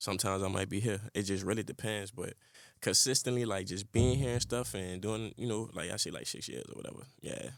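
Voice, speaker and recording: The pace is fairly quick and the intonation fairly even. The recording is very clean with a silent background. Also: man, fairly low pitch for a man. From New Orleans, Louisiana. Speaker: rapper. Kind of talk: casual interview. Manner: relaxed, filler-heavy.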